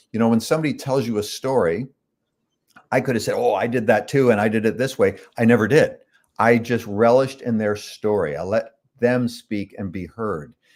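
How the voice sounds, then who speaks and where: A man with a Canadian accent and an unremarkable speaking voice, medium in pitch, with ordinary pitch variation and a moderate pace. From Canada (Toronto), partly Chicago. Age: 60s. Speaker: author, son of a self-help speaker. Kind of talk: interview storytelling.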